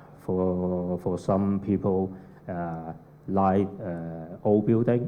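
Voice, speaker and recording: A man's very deep, low voice at a very slow pace, with fairly even intonation and audible room echo. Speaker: architect. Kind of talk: conference presentation. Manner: halting, many fillers.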